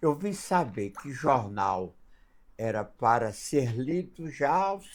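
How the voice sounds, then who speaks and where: A man speaks with very wide pitch swings. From northern Minas Gerais, Brazil. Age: 90s. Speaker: spiritist elder. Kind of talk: interview storytelling; blessing message. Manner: halting.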